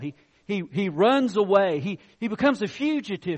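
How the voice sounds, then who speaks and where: A man speaks loudly at a high pitch with very wide pitch swings. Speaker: pastor. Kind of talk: sermon. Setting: church.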